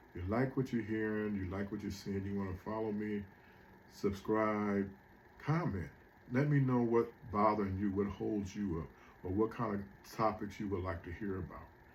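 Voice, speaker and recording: A man talks at a moderate pace with a fairly low pitch and ordinary pitch variation. Long, frequent pauses break up his speech. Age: 60s. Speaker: motivational speaker. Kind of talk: motivational monologue. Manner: casual, conversational.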